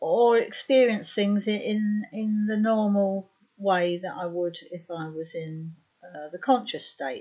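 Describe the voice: With a dark, mellow tone, a woman speaks slowly and with fairly even intonation. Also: medium pitch for a woman.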